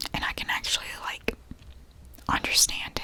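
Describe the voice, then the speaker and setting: Someone whispers in a relaxed tone. Noticeable background noise runs underneath. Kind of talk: ASMR book review / reading wrap-up, rambling to camera. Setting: ASMR recording with tapping sounds. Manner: whispered, relaxed.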